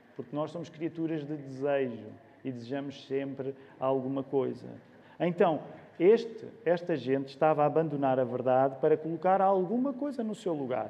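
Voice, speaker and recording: This man has a normal speaking voice at a fairly high pitch. He talks at a moderate pace with ordinary pitch variation. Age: 40s. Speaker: pastor. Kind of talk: sermon.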